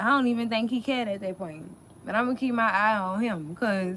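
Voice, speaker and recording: A woman in a strong New Orleans accent talks at a moderate pace with a fairly high voice and lively intonation. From US South, New Orleans. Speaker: YouTube TV show recap host. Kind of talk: live stream recap chat. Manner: animated.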